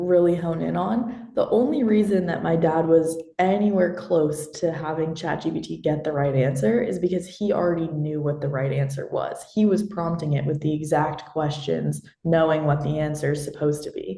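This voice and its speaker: A woman with an American accent speaks at a moderate pace and fairly low pitch, with ordinary pitch variation, hardly any pauses and noticeable background noise. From Austin, Texas. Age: young. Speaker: college student presenter. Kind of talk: Q&A discussion.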